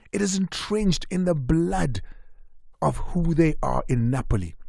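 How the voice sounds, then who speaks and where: A somewhat breathy male voice against a quiet background. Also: dry sound with no echo. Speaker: radio sports show host. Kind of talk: radio talk show hosting. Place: studio. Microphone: studio mic.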